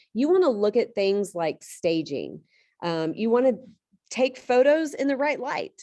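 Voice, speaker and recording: A loud woman's voice, high in pitch with a dark, mellow tone, fairly slow, with very wide pitch swings. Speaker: real estate trainer. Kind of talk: lecture.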